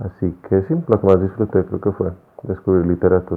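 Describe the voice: At a fairly quick pace, a man talks in a low voice with vocal fry and little pitch movement.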